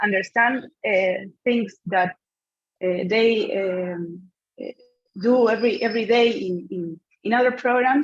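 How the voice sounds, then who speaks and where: Speaking in a Spanish accent, a woman with a fairly high pitch moves at a fairly slow pace, leaving long, frequent pauses. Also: ordinary pitch variation. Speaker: conference presenter. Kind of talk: Q&A answer. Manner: halting, many fillers.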